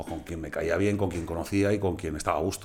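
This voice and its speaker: In a room with audible echo, a man with a fairly low pitch speaks somewhat breathily at a fairly quick pace, his intonation fairly even. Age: 30s. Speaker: musician and concert promoter. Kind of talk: casual chat.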